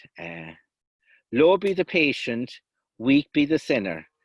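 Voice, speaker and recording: On a very clean recording with a silent background and a dry, close sound with no echo, a man with a Kerry accent speaks with lively intonation. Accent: Kerry Irish. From South West Kerry, Ireland. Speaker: traditional storyteller. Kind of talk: folklore lecture with storytelling. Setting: outdoors.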